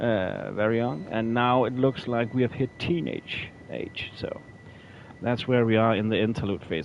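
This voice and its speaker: Moderate pace and ordinary pitch variation, with noticeable background noise. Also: man. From Norway. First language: not English. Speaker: gaming streamer. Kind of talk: live gameplay commentary. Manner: halting, frequent repetitions and fillers.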